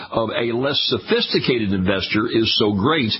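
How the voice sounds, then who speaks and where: A man talks in an American accent with lively intonation. Noticeable background noise runs behind him. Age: 70s. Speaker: radio host. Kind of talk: radio interview.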